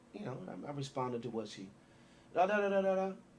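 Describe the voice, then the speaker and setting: A man with an American accent speaks at a fairly quick pace, with very wide pitch swings. Audible room echo and noticeable background noise surround him. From Waukegan, Illinois. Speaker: city mayor. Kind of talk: interview. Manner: loud; animated.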